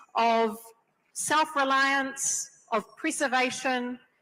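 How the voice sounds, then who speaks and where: With a strong New Zealand accent, a woman projects her raised voice at a high pitch. Her tone is bright and sharp. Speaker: panelist, community leader. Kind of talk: panel discussion.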